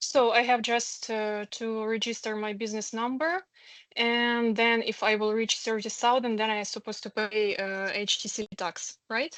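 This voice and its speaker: This woman has a fairly high pitch and a non-native accent. She talks at a moderate pace with fairly even intonation. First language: Ukrainian. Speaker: aspiring entrepreneur, esthetician. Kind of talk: question at online info session. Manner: halting.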